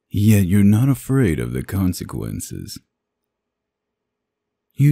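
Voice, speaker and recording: On a very clean recording with a silent background, a man in a put-on character voice uses a calm tone while his pitch swings very widely. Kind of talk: ASMR roleplay. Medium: audio drama. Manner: teasing, seductive, calm.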